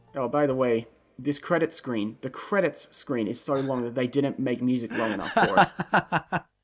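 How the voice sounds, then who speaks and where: A man talks at a medium pitch with an Australian accent and ordinary pitch variation. Music plays in the background. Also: moderate pace. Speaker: video game commentator. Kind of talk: casual chat.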